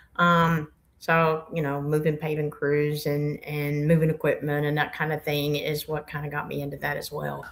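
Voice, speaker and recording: In a strong Appalachian accent, a woman speaks in a flat monotone with a very deep, low pitch, at a moderate pace with hardly any pauses. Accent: Appalachian Southern accent, strong. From US South, Blue Ridge Mountains near Boone, North Carolina. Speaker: truck driver and fleet operations manager. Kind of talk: podcast interview.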